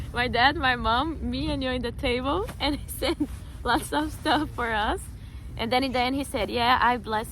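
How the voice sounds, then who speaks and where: The speaker talks at a moderate pace, and room echo can be heard. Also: woman. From Brazil. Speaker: vlogger. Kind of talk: casual chat.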